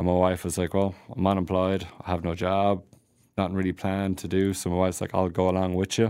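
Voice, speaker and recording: At a fairly quick pace, a man speaks in a very deep, low pitch with a dark, mellow tone and monotone, flat intonation. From Ireland, County Tipperary. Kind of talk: casual interview. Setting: studio.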